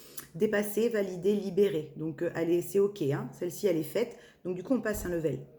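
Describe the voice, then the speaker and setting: A woman speaks at a fairly quick pace with a fairly low pitch and ordinary pitch variation. Her tone is dark and mellow, with long, frequent pauses. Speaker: medium doing tarot channelings. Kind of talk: spiritual guidance reading. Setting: evening video recording. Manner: hesitant, many fillers.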